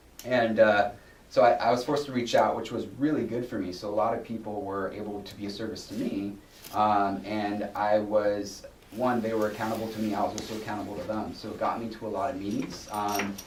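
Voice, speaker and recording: Against noticeable background noise and audible room echo, a man with a fairly low pitch talks at a fairly quick pace in a monotone, flat intonation, with big swings in loudness. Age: 30s. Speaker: guest speaker in addiction recovery. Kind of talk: recovery testimony talk. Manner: halting, many fillers and repetitions.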